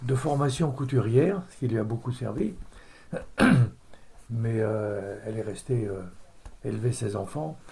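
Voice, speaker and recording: A man speaks at a medium pitch and a fairly slow pace, with long, frequent pauses. His tone is dark and mellow, somewhat breathy, with ordinary pitch variation. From Normandy, France (Caudebec-en-Caux). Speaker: retired chemist, oil industry. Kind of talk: oral history interview. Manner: hesitant, many fillers.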